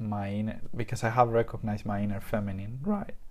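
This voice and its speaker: A man speaks with a non-native accent and fairly even intonation. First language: not English. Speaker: podcast host. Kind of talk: casual chat.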